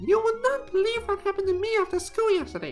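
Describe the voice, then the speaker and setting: A woman's squeaky, put-on character voice at an extremely high pitch, with ordinary pitch variation, a very fast pace and clear music in the background. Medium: game stream. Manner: chatty, breathless.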